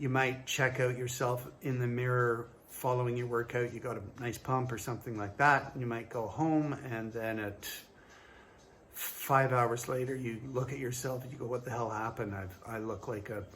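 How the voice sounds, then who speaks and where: Audible room echo surrounds a man's medium-pitched voice. He speaks at a moderate pace with monotone, flat intonation. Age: 60s. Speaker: fitness trainer. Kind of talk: casual talk to camera. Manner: hesitant, many fillers.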